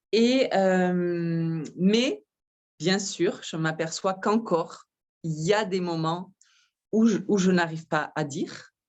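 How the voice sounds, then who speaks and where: A woman speaks at a very slow pace. Her voice sits at a medium pitch. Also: ordinary pitch variation. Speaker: wellness massage practitioner. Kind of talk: interview, personal sharing. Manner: halting, hesitant.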